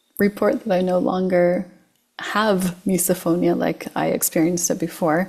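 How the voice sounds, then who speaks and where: At a fairly slow pace, a woman with vocal fry and a dark, mellow tone speaks with ordinary pitch variation. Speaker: hypnotherapist. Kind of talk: casual interview chat.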